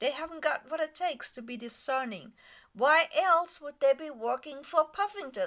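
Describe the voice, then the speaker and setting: Her voice is high, bright and sharp, and this woman speaks with lively intonation. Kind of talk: political commentary voice-over. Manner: slow.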